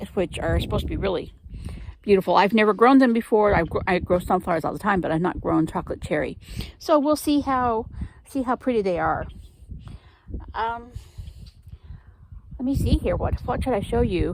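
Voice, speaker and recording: Relaxed in tone, a woman talks at a fairly quick pace but with long, frequent pauses. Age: 50s. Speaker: gardening vlogger. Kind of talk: casual chat. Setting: in a greenhouse. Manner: relaxed, hesitant with fillers.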